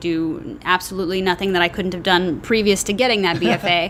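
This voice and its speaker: Over noticeable background noise, the speaker talks in an American accent, at a moderate pace and with ordinary pitch variation. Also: woman. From US South, North Texas (Dallas area). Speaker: actress. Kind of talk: casual chat.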